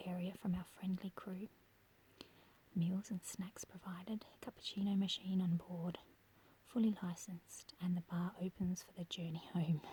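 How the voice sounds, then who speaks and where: Soft-spoken delivery in an Australian accent at a moderate pace. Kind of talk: ASMR brochure reading. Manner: quiet, soft-spoken.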